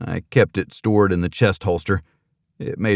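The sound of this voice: The background is quiet. An unforced reading voice carries fairly even intonation.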